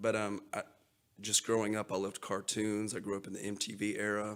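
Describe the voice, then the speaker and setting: A man speaks at a fairly quick pace with a Texan accent. His fairly low voice stays monotone and flat. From West Texas. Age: 40s. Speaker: artist and teacher. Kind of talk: casual interview.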